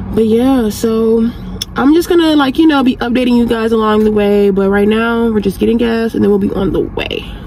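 A woman talks at a fairly quick pace. The sound is dry with no echo, though noticeable background noise is present. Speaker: vlogger. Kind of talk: casual vlog chat. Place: car. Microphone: phone near.

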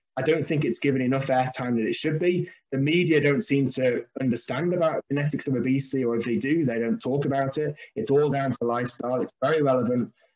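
A man at a fast pace, medium pitch, slightly mellow tone and ordinary pitch variation

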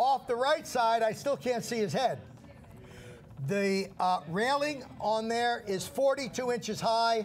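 With an American accent, a man speaks at an extremely high pitch and a fairly slow pace, his tone animated and his pitch variation ordinary, over light background noise. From New Jersey, Red Bank; New Jersey. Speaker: shopping channel host. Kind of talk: casual storytelling on live TV. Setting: TV studio. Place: studio. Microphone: lapel.

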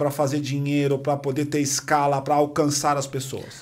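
The man's voice has a fairly high pitch. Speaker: podcast host. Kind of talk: casual interview. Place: studio. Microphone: studio mic.

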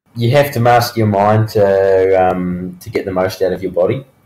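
Talking at a fairly quick pace, a man with a New Zealand accent has a fairly low pitch. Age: 20s. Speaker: professional mountain biker. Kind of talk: interview.

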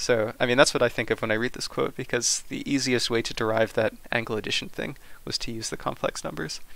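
Vocal fry runs through a man's fairly quick speech, which has ordinary pitch variation and a dry sound with no echo. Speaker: math tutor. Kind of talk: tutoring lesson explanation. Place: home room. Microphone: headset.

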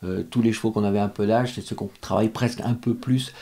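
Fairly low in pitch, the man speaks in a flat monotone. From France. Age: 50s. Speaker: show jumping rider and coach; coach. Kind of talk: interview. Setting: stable. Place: home room. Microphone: studio mic.

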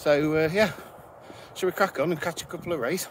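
Against music in the background, a man speaks at a fairly quick pace with ordinary pitch variation. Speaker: walking vlogger. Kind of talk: casual vlog chat. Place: open country. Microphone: phone near.

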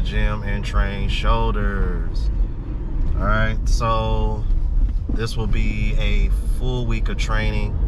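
Loud background noise fills the recording. A man is speaking. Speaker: vlogger. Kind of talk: casual vlog chat. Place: car.

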